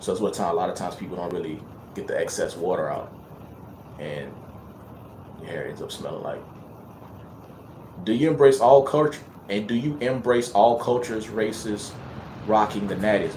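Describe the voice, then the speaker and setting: A man talks at a fairly quick pace, his loudness swinging widely. Long, frequent pauses break his speech, and room echo can be heard. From Louisiana. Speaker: hair and loc care vlogger. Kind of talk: casual livestream chat reading viewer questions. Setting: live stream at home. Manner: casual, hesitant with fillers and repetitions.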